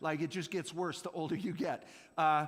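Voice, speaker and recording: An animated man talking at a fairly quick pace, with audible room echo. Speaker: youth pastor. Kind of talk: sermon. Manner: fast.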